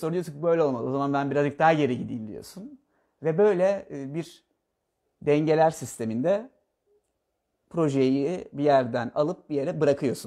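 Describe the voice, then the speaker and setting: Against a quiet background, a man with a dark, mellow tone and a fairly high pitch shows ordinary pitch variation and big swings in loudness. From Bodrum, Turkey; Turkey. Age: 20s. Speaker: architect; interviewee. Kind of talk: interview. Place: home room. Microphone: camera far.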